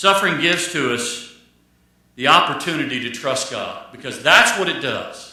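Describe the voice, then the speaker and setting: With lively intonation and a high pitch, a man speaks over audible room echo. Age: 60s. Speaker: pastor. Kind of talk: sermon. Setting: church. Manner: repetitive, restarts phrases.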